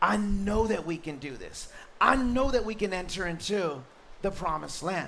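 A man speaks in a raised, projected voice at a moderate pace, his pitch high and his tone animated, with noticeable background noise and audible room echo. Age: 40s. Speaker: pastor. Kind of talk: sermon.

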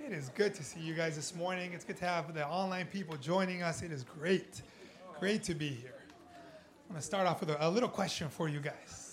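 A man speaks with an American accent at a high pitch and a fairly quick pace. His pitch variation is ordinary, and audible room echo surrounds the voice. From Southern California. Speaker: pastor. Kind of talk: sermon. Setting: church with congregation.

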